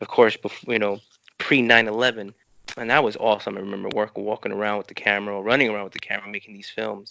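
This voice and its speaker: A man talks at a very fast pace. The sound is dry and close with no echo. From New York City, Lower East Side. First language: Spanish. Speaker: filmmaker. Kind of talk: interview. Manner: animated.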